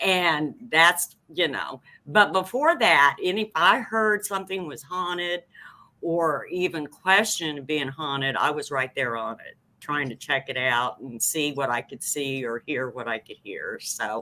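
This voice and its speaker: At a fairly slow pace, a woman with a very deep, low pitch and a bright, sharp tone speaks with lively intonation and big swings in loudness. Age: 60s. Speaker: paranormal team founder. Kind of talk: interview.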